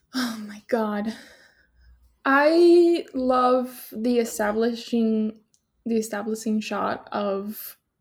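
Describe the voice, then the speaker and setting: In a very clean recording with a silent background, a woman with an American accent speaks in a somewhat breathy, fairly high voice with ordinary pitch variation. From Venezuela. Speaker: podcast host. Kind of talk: casual chat. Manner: animated.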